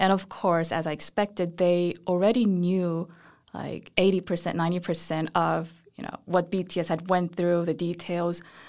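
In a very clean recording with a silent background, a woman with a Korean accent speaks at a moderate pace in a fairly low, monotone voice with flat intonation. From South Korea. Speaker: professor of Korean studies. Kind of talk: interview. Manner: hesitant fillers.

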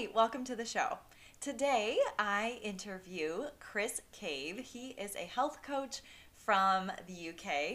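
A woman speaks at a very slow pace. Her fairly high voice carries lively intonation. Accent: American. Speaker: podcast host. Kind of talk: interview, casual chat.

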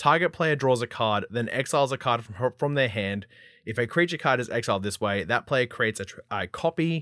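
A man with an Australian accent speaks at medium pitch and a moderate pace, showing vocal fry, very wide pitch swings and big swings in loudness, in a very clean recording with a silent background and a dry, close sound with no echo. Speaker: podcast co-host. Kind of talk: casual chat.

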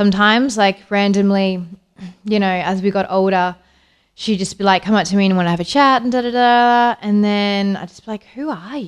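Against a quiet background, a woman with an Australian accent speaks at medium pitch and a moderate pace, with ordinary pitch variation and big swings in loudness. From Australia, Perth. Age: 40s. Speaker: interviewee. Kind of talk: casual chat.

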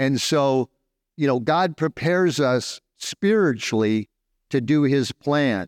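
Recorded very cleanly against a silent background with a dry, close sound and no echo, a man with an American accent speaks at a very slow pace, at very even loudness, with lively intonation. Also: fairly high pitch for a man. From US West Coast (Southern California). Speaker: church volunteer, fundraising helper. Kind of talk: testimony in a church service.

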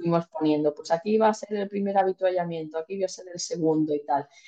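The recording is dry and close with no echo, carrying a woman's fairly low-pitched voice with a dark, mellow tone. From Galicia, Spain (A Coruña). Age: 50s. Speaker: ultrarunner and ship captain. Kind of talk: casual interview chat.

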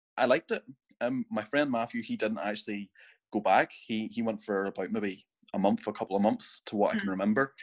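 In a Northern Irish accent, the speaker talks very fast with fairly even intonation, the sound dry and close with no echo. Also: man, medium pitch for a man. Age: 20s. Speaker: scout volunteer. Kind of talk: casual chat. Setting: video call.

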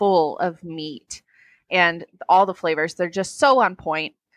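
In a dry, close sound with no echo and a silent background on a very clean recording, a woman with an American accent speaks at a moderate pace in an animated tone. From North Carolina. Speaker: podcast host. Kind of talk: casual chat. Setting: home recording at computer.

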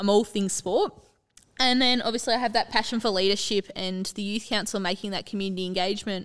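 Here a woman speaks at a very fast pace. Her pitch is medium. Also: fairly even intonation. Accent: Australian. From Terang, Victoria, Australia. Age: young. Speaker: youth council mayor. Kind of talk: interview.

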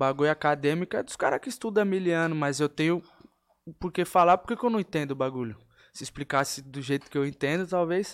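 Here is a man with a plain, everyday voice and fairly high pitch. He talks at a fairly quick pace with ordinary pitch variation, in a dry, close sound with no echo. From São Paulo (Vila Maria, then Diadema). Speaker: rapper. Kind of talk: casual chat.

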